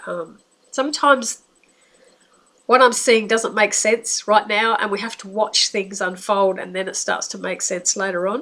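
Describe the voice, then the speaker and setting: A bright, sharp voice with an Australian accent, big swings in loudness, ordinary pitch variation and a moderate pace. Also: woman. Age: 60s. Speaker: psychic. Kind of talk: monologue. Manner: casual, hesitant.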